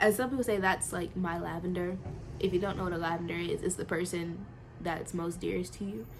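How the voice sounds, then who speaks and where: A woman's fairly low voice at a fairly quick pace, with noticeable background noise. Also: ordinary pitch variation. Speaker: vlogger. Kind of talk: personal vlog confession. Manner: halting.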